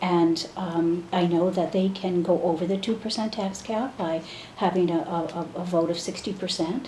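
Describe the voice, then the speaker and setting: A woman with an American accent at a moderate pace, her intonation fairly even, with audible room echo and noticeable background noise. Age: 60s. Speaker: state senator. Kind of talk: interview.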